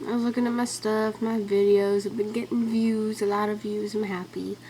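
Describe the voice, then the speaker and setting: Speaking quite fast with a Southern US accent, a woman uses a fairly high pitch over noticeable background noise. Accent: southern twang. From Ventura, California. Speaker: vlogger. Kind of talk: casual vlog. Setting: webcam. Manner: animated.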